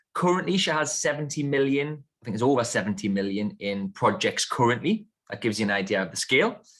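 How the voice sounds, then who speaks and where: A man with a northern English accent, very fast, fairly high in pitch, with very wide pitch swings. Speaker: podcast host. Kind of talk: interview podcast.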